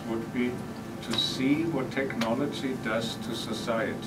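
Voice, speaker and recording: Music plays in the background as a man speaks at a fairly slow pace. His pitch varies in an ordinary way. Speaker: faculty host introducing speaker. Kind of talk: speaker introduction. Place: classroom. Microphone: camera far.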